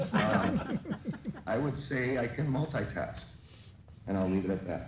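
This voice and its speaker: With audible room echo and noticeable background noise, a man talks at a medium pitch and a fairly slow pace. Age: 60s. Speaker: advisory committee member. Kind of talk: public meeting introduction. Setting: remote video call. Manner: halting, many fillers.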